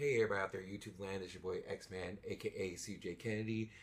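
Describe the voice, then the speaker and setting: A man talks in a somewhat breathy voice. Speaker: YouTuber reviewing studio gear. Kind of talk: product review. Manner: casual, hesitant with fillers.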